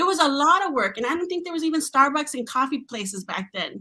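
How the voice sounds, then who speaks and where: A woman speaks at a high pitch in a raised, projected voice. Her tone is bright and sharp, her intonation lively. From Mexico. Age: 40s. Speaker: tech professional. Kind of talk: podcast interview. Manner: animated.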